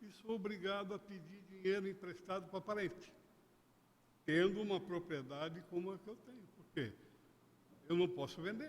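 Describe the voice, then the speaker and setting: Pitched high, a man speaks at a moderate pace with ordinary pitch variation, big swings in loudness, and long, frequent pauses. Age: 70s. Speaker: citizen speaking at public hearing. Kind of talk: public hearing statement. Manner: halting.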